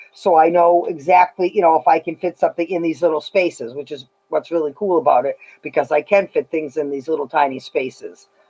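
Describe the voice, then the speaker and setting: The speaker has an American accent and a fairly quick pace. Intonation stays fairly even. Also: woman, fairly low pitch for a woman. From Massachusetts, USA. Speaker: leather craftsperson. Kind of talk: live demonstration talk to camera. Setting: workshop with loud machine noise. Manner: casual, hesitant.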